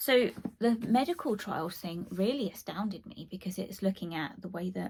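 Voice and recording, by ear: Putting on a hoarse character voice, a woman speaks at a moderate pace and medium pitch, with ordinary pitch variation and big swings in loudness.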